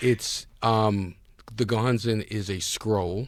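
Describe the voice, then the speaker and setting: On a very clean recording with a silent background, a man with a New York accent speaks at a very slow pace in a fairly low pitch, his intonation monotone and flat. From New York City (Harlem, Brooklyn). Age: 60s. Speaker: businessman. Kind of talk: interview.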